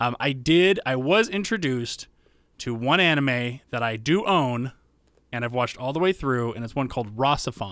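In a plain, everyday voice, a man talks at a moderate pace with medium pitch and lively intonation, on a very clean recording with a silent background. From US South. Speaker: podcast host. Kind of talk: casual chat.

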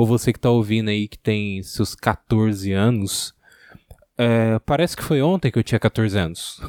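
The recording is very clean, with a silent background. In it, an unremarkable speaking voice keeps a moderate pace. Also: man, dry, close sound with no echo. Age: 20s. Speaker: podcaster. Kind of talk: solo monologue.

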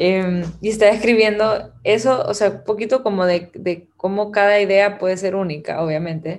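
A woman with a normal speaking voice talks at a moderate pace and medium pitch with hardly any pauses. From Guatemala. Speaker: creative director and artist. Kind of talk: casual chat.

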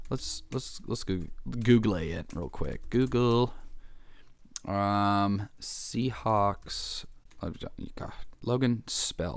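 With an American accent, a man speaks very slowly, leaving long, frequent pauses. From Kansas, US Midwest. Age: 20s. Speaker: podcast host. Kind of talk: casual solo chat.

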